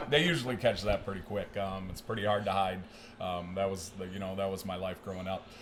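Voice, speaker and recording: A man with a Michigan accent, fairly low in pitch, with noticeable background noise and audible room echo. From Michigan, US Midwest. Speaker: strength and conditioning coach. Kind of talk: podcast interview. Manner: halting, many fillers.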